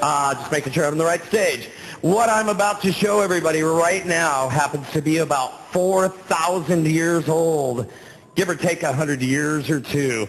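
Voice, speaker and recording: There is noticeable background noise behind this man, whose voice sits fairly high. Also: ordinary pitch variation, moderate pace. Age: young. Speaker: sword swallower. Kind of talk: live stage patter to audience. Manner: joking.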